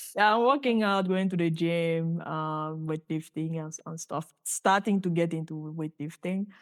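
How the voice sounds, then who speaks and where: A woman with a Cameroonian accent and fairly low pitch speaks at a moderate pace with ordinary pitch variation and big swings in loudness, in a dry, close sound with no echo. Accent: Cameroonian francophone English. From Cameroon, Douala. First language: French. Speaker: physicist and startup founder. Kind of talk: podcast interview.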